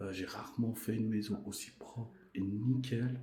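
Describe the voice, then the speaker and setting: A soft-spoken man with audible room echo. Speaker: urban exploration vlogger. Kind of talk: exploration vlog narration. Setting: inside an abandoned house. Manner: speaking softly.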